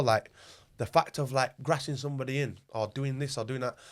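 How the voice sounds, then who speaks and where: In a very clean recording with a silent background, a man with a Yorkshire accent talks at a fairly quick pace and a fairly high pitch. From northern England, Wakefield, West Yorkshire. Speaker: rapper and club owner. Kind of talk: casual chat.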